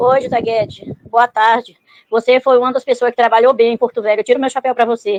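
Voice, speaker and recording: Dry and close with no echo, the speech moves at a fairly quick pace in monotone, flat intonation. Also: woman, high pitch for a woman. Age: 60s. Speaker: caller. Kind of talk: call-in message.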